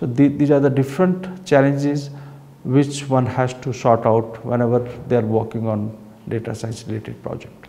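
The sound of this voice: A man's medium-pitched voice with a dark, mellow tone and vocal fry, at a moderate pace with little pitch movement, in audible room echo.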